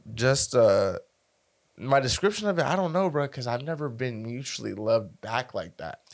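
Over a very clean recording with a silent background, a man speaks in an ordinary speaking voice at medium pitch. His pace is moderate and his intonation lively. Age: 20s. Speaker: podcast host. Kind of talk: casual chat.

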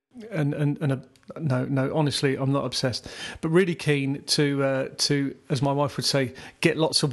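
In a southern English accent, a man with fairly high pitch talks at a fairly quick pace in a flat monotone. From southeast England (Surrey). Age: 50s. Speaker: podcast host, aspiring photographer. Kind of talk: casual solo monologue. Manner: informal, halting with fillers.

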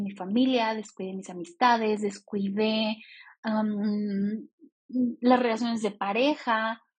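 Very slow, somewhat breathy delivery with fairly even intonation and big swings in loudness. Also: woman. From Mexico. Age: 30s. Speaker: podcast host and business coach. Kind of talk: solo podcast monologue.

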